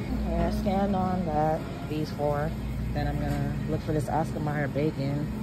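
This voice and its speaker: Loud background noise surrounds a voice moving at a moderate pace in a dry sound with no echo. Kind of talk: casual vlog chat. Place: shop. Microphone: phone near.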